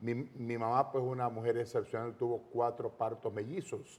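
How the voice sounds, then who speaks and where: At a fairly slow pace, a man talks in a normal speaking voice with a medium pitch. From Panama, Los Santos province. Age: 60s. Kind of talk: testimony interview.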